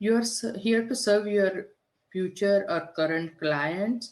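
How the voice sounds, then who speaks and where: A woman speaks very slowly with a strong non-native accent and lively intonation. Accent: heavy foreign. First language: not English (third language). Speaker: business coach. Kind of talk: podcast interview.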